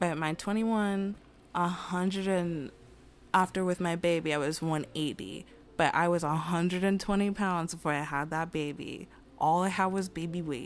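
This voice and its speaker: A woman speaks at a very slow pace. Her pitch is fairly low. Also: fairly even intonation. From Queens, New York. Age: 20s. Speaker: activist and doula. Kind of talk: casual chat.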